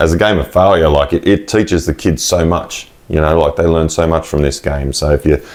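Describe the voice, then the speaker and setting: Over noticeable background noise, a man with an Australian accent speaks fairly quickly in a very deep, low pitch, with fairly even intonation, very even loudness and hardly any pauses. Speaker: podcast host. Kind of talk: casual interview.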